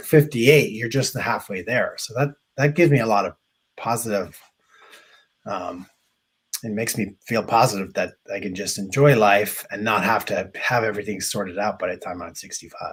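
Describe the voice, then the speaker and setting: With an American accent, a man of medium pitch speaks at a moderate pace, somewhat breathy, with ordinary pitch variation and big swings in loudness. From Ireland, Dublin. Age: 50s. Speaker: interviewee in user research. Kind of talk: interview. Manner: halting, many fillers and restarts.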